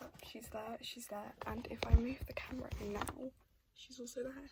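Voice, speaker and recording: Someone whispers with big swings in loudness amid noticeable background noise. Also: woman, moderate pace. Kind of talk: ASMR show-and-tell talk to camera. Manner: soft-spoken.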